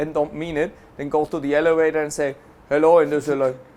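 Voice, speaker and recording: In a German accent, a man talks at a very fast pace with a fairly high pitch and monotone, flat intonation, on a very clean recording with a silent background. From Germany. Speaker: affiliate marketing entrepreneur. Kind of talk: interview.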